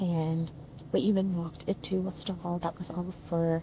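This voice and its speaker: Soft-spoken and somewhat breathy, the voice has a dark, mellow tone, a fairly slow pace and monotone, flat intonation. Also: woman. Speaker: travel vlogger. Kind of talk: casual vlog chat. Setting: on a bus. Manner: quiet, speaking softly.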